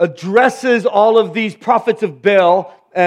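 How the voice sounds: The reading is in a natural reading voice, with ordinary pitch variation.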